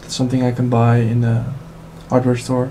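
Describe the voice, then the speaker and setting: A man with a non-native accent speaks at a medium pitch over noticeable background noise. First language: not English. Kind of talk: tech tutorial voiceover.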